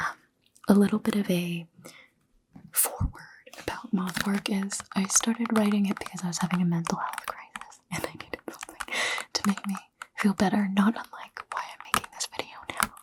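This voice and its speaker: Whispering at a fairly quick pace, a woman leaves long, frequent pauses. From Toronto, Canada. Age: young. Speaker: writer. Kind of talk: ASMR casual talk to camera. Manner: soft-spoken.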